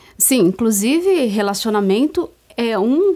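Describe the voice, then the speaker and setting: A woman is speaking. Her pace is fairly slow. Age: 50s. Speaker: co-host and strengths mentor. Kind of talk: informative talk show chat. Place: studio. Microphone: lapel.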